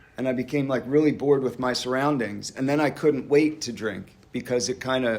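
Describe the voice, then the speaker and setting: Fairly quick speech from a man with an American accent, a plain, everyday voice, medium pitch, and fairly even intonation. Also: hardly any pauses. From US, Pennsylvania (Doylestown area). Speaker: recovering alcoholic speaker. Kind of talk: recovery meeting testimony. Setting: church hall meeting with audience.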